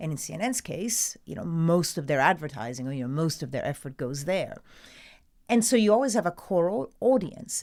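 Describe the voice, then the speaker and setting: With an Italian accent, a woman speaks at a moderate pace in a fairly low pitch, with very wide pitch swings and big swings in loudness, on a very clean recording with a silent background. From Italy. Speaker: TV news presenter. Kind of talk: interview answer.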